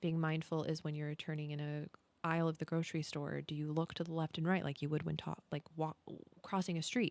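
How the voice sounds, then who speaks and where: Speaking softly at a fairly quick pace, this voice stays monotone and flat, with a dry, close sound and no echo. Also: woman, very deep, low pitch for a woman. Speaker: content creator, podcast host. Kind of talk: podcast-style talk to camera. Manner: soft-spoken.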